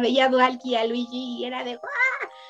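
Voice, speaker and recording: A woman with a Mexican accent speaks in a high voice. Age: 30s. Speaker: fandubber and voice-over artist. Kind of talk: casual chat.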